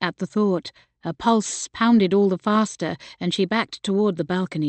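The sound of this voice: There is a quiet background behind this unforced reading voice.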